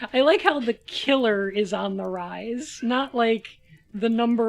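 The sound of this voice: With ordinary variation in pitch, the reading voice sounds unforced.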